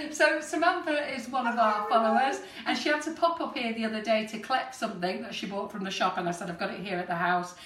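Audible room echo surrounds a woman's voice. She speaks at a fairly quick pace with hardly any pauses. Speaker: host. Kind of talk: live stream intro chat. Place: kitchen. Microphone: camera far.

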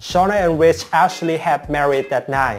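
A man is speaking. Faint music plays in the background. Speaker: soap opera spoiler channel host. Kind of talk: commentary. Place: home room. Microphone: lapel.

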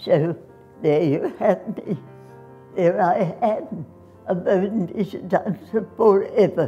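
Faint music plays in the background as a woman speaks very slowly with ordinary pitch variation and long, frequent pauses. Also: medium pitch for a woman. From Australia. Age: 80s+. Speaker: dancer. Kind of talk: interview; interview answer. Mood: proud, reflective. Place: home room.

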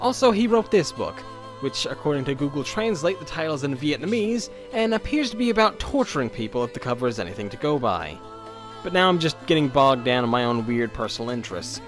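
Over music in the background, a man with a fairly high pitch talks at a very fast pace, his voice making very wide pitch swings. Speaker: video essayist. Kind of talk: history video narration. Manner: sardonic, humorous.

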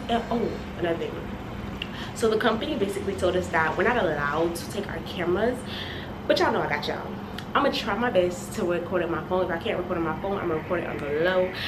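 Over noticeable background noise, a woman rushes through her words at a very fast pace. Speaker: travel vlogger. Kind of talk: casual vlog chat. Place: home room.

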